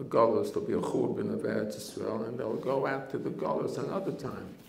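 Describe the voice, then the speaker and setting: With audible room echo and noticeable background noise around him, a man talks fairly slowly. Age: 80s+. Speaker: rabbi, head of a yeshiva. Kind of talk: Torah talk.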